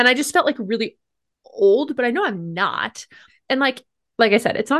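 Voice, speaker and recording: Against a quiet background, a woman with a plain, everyday voice, lively intonation and a fairly quick pace. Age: 20s. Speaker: professor and podcast co-host. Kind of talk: casual chat.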